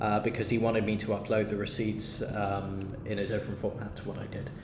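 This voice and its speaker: A man is speaking. The room echo is audible. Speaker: university team member explaining expense claims. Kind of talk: screen-recorded tutorial. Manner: halting with many fillers; casual.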